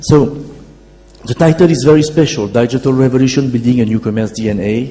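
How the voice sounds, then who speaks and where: At a very fast pace, a man with a French accent speaks at medium pitch with ordinary pitch variation, over noticeable background noise. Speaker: keynote speaker, company founder. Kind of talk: conference keynote talk.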